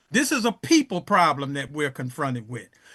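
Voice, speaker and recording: A man's voice is raised and projected. His tone is bright and sharp. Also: quiet background. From Chicago South Side, US. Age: 70s. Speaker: elder teacher of African history. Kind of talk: interview. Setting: podcast. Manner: halting, many fillers.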